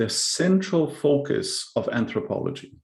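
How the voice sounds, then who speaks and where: Lively in intonation and somewhat breathy, a man speaks with a German accent. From Germany. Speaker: cultural anthropologist. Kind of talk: presentation with slides. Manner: halting, with repetitions and fillers.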